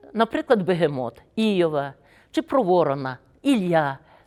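This recording is very clean and its background silent. Across the speech, the pitch rises and falls very widely. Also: woman. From Ukraine, Volyn region. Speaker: retired prosecutor. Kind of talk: testimony.

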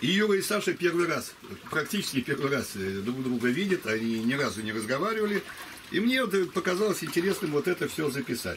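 A man talks at a fairly quick pace with a fairly high pitch. His pitch swings very widely, and noticeable background noise is present. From Russia. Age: 70s. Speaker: video blogger. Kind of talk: casual chat. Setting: outdoors. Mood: relaxed, friendly. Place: waterside. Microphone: camera far.

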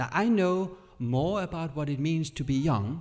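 Against a quiet background, a man speaks with a Danish accent. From Denmark. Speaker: pastor and Bible teacher. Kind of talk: sermon; casual interview. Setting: church camp stage with audience.

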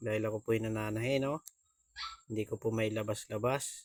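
A man's medium-pitched, monotone, flat delivery at a moderate pace, with a dry, close sound and no echo. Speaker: vlogger. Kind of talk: casual vlog.

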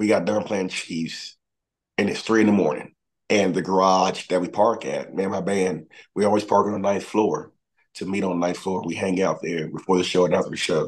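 Against a quiet background, a man with a fairly low pitch speaks at a fairly quick pace with fairly even intonation. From Mississippi, near Memphis. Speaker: singer-songwriter; guest. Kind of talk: interview. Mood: relaxed, friendly. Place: home room. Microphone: video call.

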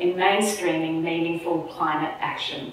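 A woman speaks at a fairly slow pace amid strong room echo.

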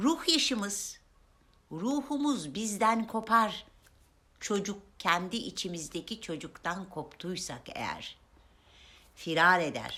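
A woman talks very slowly, her pitch swinging very widely, with long, frequent pauses. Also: medium pitch for a woman. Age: 50s. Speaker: self-help video maker. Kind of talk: motivational talk to camera.

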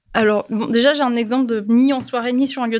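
A woman speaks fairly quickly in a high, flat monotone. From Toulon, southern France. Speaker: podcast guest. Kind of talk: casual chat.

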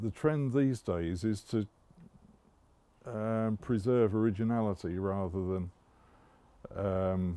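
At a very slow pace, a man talks with ordinary pitch variation in a dry sound with no echo. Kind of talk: interview answer. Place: street. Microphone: headset.

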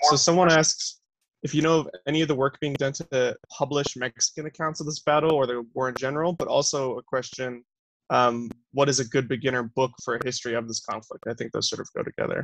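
A man with an American accent talks at a very fast pace. His voice is fairly high, with fairly even intonation. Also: quiet background, dry sound with no echo. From Arizona. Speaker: student teaching assistant moderating Q&A; Q&A moderator. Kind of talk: Q&A moderation. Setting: video call. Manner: hesitant with fillers. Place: home room. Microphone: headset.

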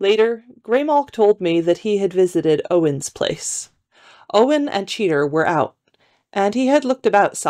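The voice is plain reading aloud. The background is quiet.

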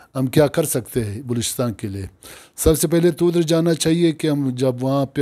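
Against a quiet background, a man with a dark, mellow tone speaks at a fairly slow pace with ordinary pitch variation. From Pakistan. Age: 60s. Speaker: provincial governor, politician; politician interviewee. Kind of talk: interview. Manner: halting. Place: home room.

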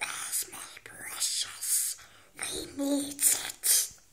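It's a put-on character voice, raspy and high-pitched. Light background noise sits behind it. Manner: hissing.

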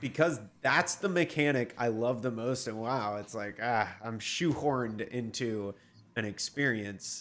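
A man's raspy, put-on character voice at a medium pitch, with a fairly slow pace and ordinary pitch variation. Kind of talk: casual, conversational. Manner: upset, exasperated.

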